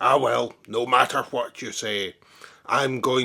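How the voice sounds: The clip is delivered in a natural reading voice.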